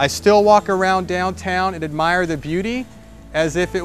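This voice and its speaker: Over faint background music, a man with an American accent talks at a moderate pace in a dry sound with no echo. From southwest Florida. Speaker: real estate agent. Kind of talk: promotional pitch. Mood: warm, relaxed, friendly. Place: street. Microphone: lapel.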